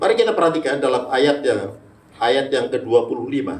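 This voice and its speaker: This voice has a Javanese accent and audible room echo. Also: man. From Manado, North Sulawesi. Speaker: pastor. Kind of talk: sermon. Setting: church. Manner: animated.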